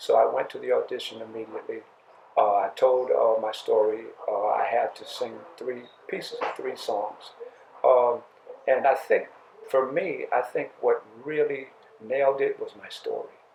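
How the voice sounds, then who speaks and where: Long, frequent pauses break up a man's moderate-paced speech. His loudness swings widely against noticeable background noise. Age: 60s. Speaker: singer and prison outreach counselor. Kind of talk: interview testimony. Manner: halting, many fillers.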